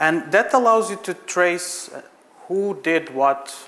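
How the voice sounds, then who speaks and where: Against noticeable background noise, a man with a Portuguese accent swings his pitch very widely. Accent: Portuguese, non-British. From Portugal. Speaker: software architect, conference speaker. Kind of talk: conference talk. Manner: hesitant, many fillers.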